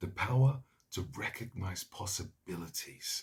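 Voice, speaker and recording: Delivering his words fairly slowly, the man has a somewhat breathy voice and pitch that varies in an ordinary way. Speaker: voice actor. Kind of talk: TV commercial read.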